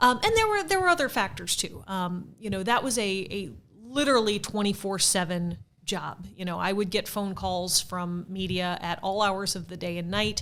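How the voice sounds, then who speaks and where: In an unremarkable speaking voice, a woman talks at a medium pitch and moderate pace with ordinary pitch variation. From US Midwest, St. Louis. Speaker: theater marketing director, former PR professional. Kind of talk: podcast interview.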